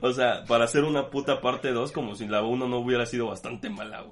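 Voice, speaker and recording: A man with a Mexican accent, medium pitch and a moderate pace. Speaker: podcast co-host. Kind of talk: casual chat.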